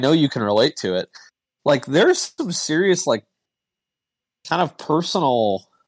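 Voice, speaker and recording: A man speaks in an ordinary speaking voice, fairly high in pitch, with lively intonation and a dry, close sound that has no echo. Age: 40s. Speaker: former sports newspaper columnist. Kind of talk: casual chat. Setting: online voice chat.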